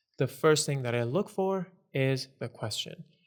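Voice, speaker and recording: A man with a non-native accent, fairly high in pitch, at a fairly slow pace. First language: not English. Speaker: SAT tutor. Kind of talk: tutorial.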